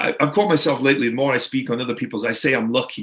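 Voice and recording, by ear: A man talks at a very fast pace in a medium pitch, with a fairly bright tone, a slightly husky edge and ordinary pitch variation.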